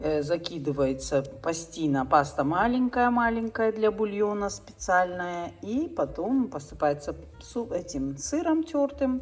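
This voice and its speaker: Speaking at a very slow pace, a woman uses a fairly low voice that swings very widely in pitch. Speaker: vlogger. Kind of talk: casual cooking vlog.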